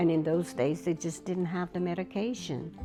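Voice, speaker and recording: Music plays in the background as a woman speaks. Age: 80s+. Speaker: elder sharing life story. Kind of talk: interview.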